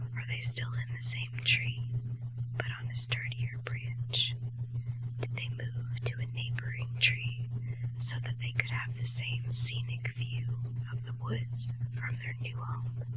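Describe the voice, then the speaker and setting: Over noticeable background noise, a woman with a very deep, low pitch speaks at a very slow pace in a monotone, flat intonation. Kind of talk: ASMR whispered short story reading. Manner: whispered, soft.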